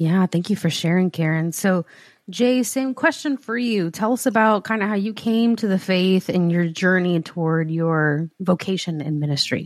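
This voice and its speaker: A woman with an unremarkable speaking voice talks at a moderate pace and medium pitch on a very clean recording with a silent background. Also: ordinary pitch variation. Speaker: podcast co-host. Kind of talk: casual interview conversation.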